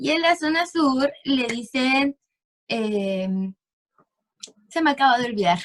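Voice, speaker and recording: A woman with a Chilean accent speaks at a high pitch with lively intonation. Her pace is very slow, with long, frequent pauses. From central Chile, Valparaíso region interior. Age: 20s. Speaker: clinical lab technician, interviewee. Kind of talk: casual interview. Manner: hesitant, many fillers.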